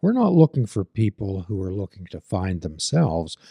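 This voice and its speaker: Against a quiet background, with a dry, close sound and no echo, a man speaks at a moderate pace in a somewhat breathy, dark, mellow tone with lively intonation. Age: 70s. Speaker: podcast host and behavioral health therapist. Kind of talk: casual interview.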